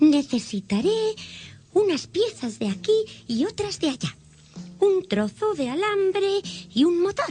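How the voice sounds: A woman uses a put-on character voice at an extremely high pitch with big pitch swings, speaking at a fairly slow pace in a dark, mellow tone. Faint music plays in the background.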